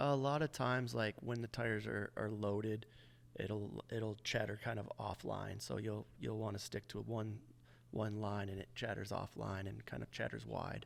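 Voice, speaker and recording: Soft-spoken man with an American accent, fairly low pitch, ordinary pitch variation, and a moderate pace. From Michigan, USA. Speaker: motorcycle racer and tire tester. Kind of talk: interview answer.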